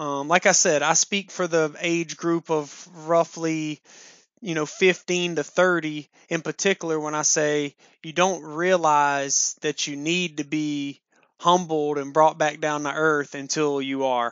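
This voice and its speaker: Using an ordinary speaking voice, a man with a fairly high pitch talks at a fairly slow pace with fairly even intonation. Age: 20s. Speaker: podcast host. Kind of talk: solo monologue. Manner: casual, with frequent fillers and repetitions.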